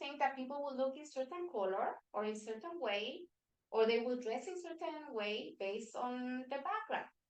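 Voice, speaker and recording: A woman with a Spanish accent speaks at a high pitch with lively intonation. She keeps a moderate pace, with big swings in loudness. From Venezuela. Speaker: workshop facilitator. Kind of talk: workshop presentation. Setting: meeting room with hybrid online audience.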